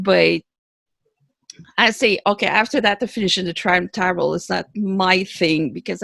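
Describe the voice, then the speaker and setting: A woman speaks with a Quebec accent. The recording is very clean, with a silent background and a dry, close sound with no echo. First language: French. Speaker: author. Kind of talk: interview. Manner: halting.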